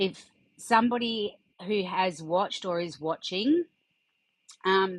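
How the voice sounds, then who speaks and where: Against a quiet background, a woman speaks at a very slow pace in a fairly low pitch with ordinary pitch variation. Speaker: podcast host. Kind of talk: awareness talk reading from notes. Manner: halting, stutters and freezes; many fillers, um and uh.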